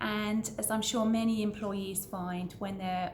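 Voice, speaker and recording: A woman with a British accent speaks in a monotone, flat intonation, her voice somewhat breathy. Room echo is audible. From Britain. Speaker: business owner and vlogger. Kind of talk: casual introductory vlog. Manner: conversational, somewhat hesitant with repetitions.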